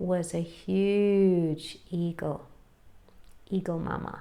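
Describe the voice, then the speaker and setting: A woman speaks in a calm, soothing tone at a medium pitch. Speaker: NLP trainer and life coach. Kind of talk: metaphor story told in a hypnotic coaching style. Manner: calm, slow, soothing.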